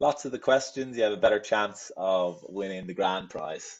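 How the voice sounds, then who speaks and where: A man speaks with a Dublin accent. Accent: Irish, Dublin. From Ireland, Dublin. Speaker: travel agent, webinar host. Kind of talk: quiz in a live webinar. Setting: video call webinar.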